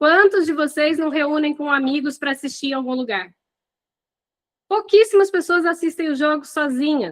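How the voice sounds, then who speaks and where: A woman's high-pitched, animated voice at a moderate pace. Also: ordinary pitch variation. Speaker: hospitality business coach. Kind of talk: live online class.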